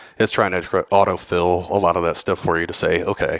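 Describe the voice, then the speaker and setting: A man speaks with a Southern US accent at a very deep, low pitch in a flat monotone. The sound is dry and close with no echo. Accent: southern drawl. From Texas, Houston. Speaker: cybersecurity professional, conference speaker. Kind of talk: conference talk. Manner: casual, many fillers.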